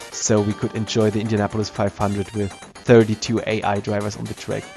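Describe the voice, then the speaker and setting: Over music in the background, a man with a non-native accent speaks at a moderate pace with a fairly low pitch. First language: not English. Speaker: retro computer hobbyist. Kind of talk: hardware review narration.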